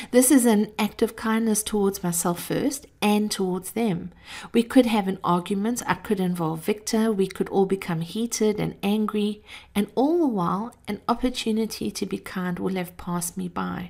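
Her tone is dark and mellow, with ordinary pitch variation. The woman keeps a moderate pace. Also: medium pitch for a woman, very clean recording, silent background. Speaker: podcast host, motivational speaker. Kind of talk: spoken reflection monologue. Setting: doctor's waiting room.

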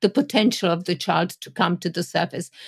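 A woman with a European accent, dry, close sound with no echo. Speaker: Montessori educator. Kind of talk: panel discussion.

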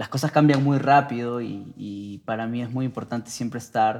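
A man speaks at a fairly slow pace in a normal speaking voice, with ordinary pitch variation. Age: 20s. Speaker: music producer. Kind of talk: casual interview. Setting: studio.

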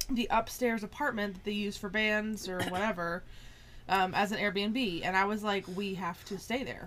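Against noticeable background noise, a woman with an American accent and medium pitch speaks at a moderate pace with fairly even intonation. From small-town US South. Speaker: podcast co-host. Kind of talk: casual chat.

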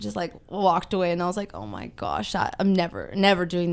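This woman speaks with a Californian accent. Her pace is fairly quick. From Southern California, Ventura. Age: 20s. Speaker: weight loss influencer and amateur bodybuilder. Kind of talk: casual interview.

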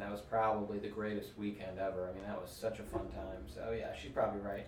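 Noticeable background noise sits behind the speaker. A man talks in a fairly low, monotone, flat voice. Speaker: firefighter. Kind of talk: casual chat. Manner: quiet; flat, little expression.

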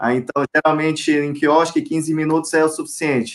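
A plain, everyday voice comes from a man pitched fairly high. He talks at a moderate pace. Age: 30s. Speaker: lawyer and retail executive. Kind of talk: live interview.

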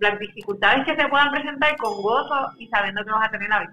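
A woman speaks in a normal speaking voice, fairly high in pitch, with ordinary pitch variation. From Puerto Rico. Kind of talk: interview.

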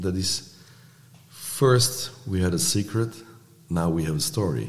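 At a very slow pace, a man talks in a fairly low pitch, with audible room echo around him. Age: 60s. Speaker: artist and actor in recovery. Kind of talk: podcast interview. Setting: studio.

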